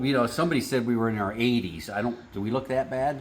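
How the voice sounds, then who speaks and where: A man with a plain, everyday voice speaks with ordinary pitch variation. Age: 60s. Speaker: garage show co-host, high school teacher. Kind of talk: casual chat.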